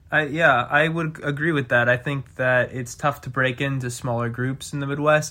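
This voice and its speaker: A man with an ordinary speaking voice, medium pitch, ordinary pitch variation, and an American accent. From Pittsburgh, Pennsylvania. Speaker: podcast host. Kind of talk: casual chat.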